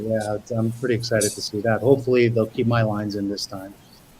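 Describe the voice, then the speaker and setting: Against noticeable background noise, a man speaks at a very fast pace and medium pitch with fairly even intonation. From US, Brooklyn, New York. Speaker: actor. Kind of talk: interview.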